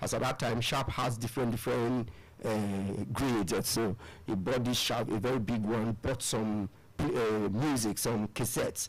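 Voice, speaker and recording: A man with a medium-pitched voice speaks at a very even loudness, leaving long, frequent pauses, on a very clean recording with a silent background. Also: fairly even intonation, moderate pace. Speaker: spiritual devotee and musician. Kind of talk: radio interview.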